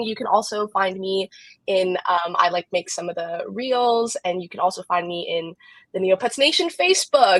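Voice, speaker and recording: An American accent marks this woman's lively intonation as she talks at a moderate pace. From US West Coast small town. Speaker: community coordinator. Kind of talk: casual livestream chat.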